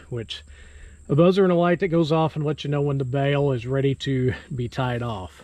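Against a quiet background, a man talks at a moderate pace with ordinary pitch variation. The sound is dry with no echo. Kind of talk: tutorial. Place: farm machine. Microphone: phone near.

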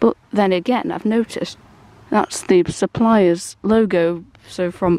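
A woman's voice, dark and mellow with ordinary pitch variation, comes through dry and echo-free against a quiet background. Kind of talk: tutorial walk-around commentary. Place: garden.

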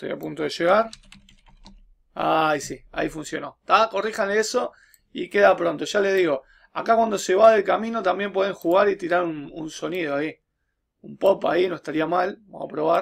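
A man with a Uruguayan accent speaks at a moderate pace over a quiet background. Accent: Rioplatense Spanish (Uruguayan). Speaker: teacher making programming tutorials. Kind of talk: tutorial. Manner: casual, with frequent fillers and repetitions. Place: home room. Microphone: webcam.

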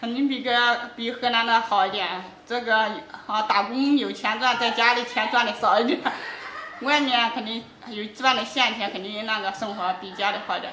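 Audible room echo and light background noise accompany a woman whose fairly high voice moves at a moderate pace with fairly even intonation. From Henan, China. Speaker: school cleaner, migrant worker. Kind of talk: interview answer. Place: home room. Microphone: camera far.

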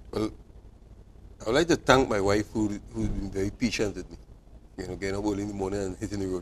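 A man talks at a very fast pace in a fairly low voice with ordinary pitch variation. Long, frequent pauses break it up, with light background noise behind. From Trinidad and Tobago. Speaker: cycling club president and manager; cycling coach or club official guest. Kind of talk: TV sports interview. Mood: proud, grateful. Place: studio. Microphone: lapel.

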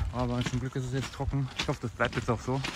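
A man talks over loud background noise in a dry sound with no echo. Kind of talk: casual vlog chat. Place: open country. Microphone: phone near.

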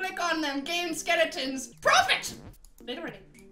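An extremely high-pitched, put-on character voice talks at a moderate pace. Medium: role play. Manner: loud, excitable.

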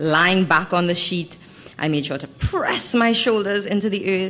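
Lively intonation goes with a bright, sharp tone in this voice. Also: woman. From Trinidad and Tobago. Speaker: writer. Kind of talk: reading aloud. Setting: stage with audience. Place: hall. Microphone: podium.

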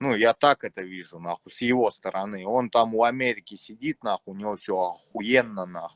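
A man with a Moscow accent talks at a fairly quick pace with hardly any pauses and big swings in loudness, in a dry, close sound with no echo. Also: fairly low pitch for a man, ordinary pitch variation. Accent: Moscow Russian. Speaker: chat roulette stranger. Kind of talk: casual chat. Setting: video call.

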